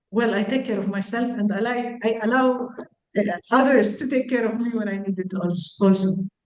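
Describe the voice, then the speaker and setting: Audible room echo surrounds a woman whose fairly high voice keeps a fairly even intonation. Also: moderate pace. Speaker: psychiatrist. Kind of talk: panel discussion. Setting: video call.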